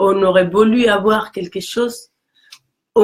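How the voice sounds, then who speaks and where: With a Mexican accent, a woman talks in a fairly even intonation. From Mexico. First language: Spanish (speaking French). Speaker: career coach. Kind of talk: casual chat. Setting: live video stream.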